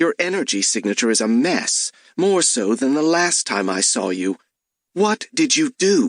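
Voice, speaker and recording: Using a put-on character voice, a man speaks at a moderate pace with a high pitch, the sound dry and close with no echo against a quiet background. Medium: read story. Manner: sharp, cutting.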